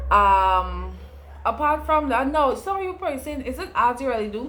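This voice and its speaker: A woman's voice at a moderate pace with very wide pitch swings, set in audible room echo. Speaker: online educator and entrepreneur. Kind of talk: casual vlog tutorial. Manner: conversational, chatty.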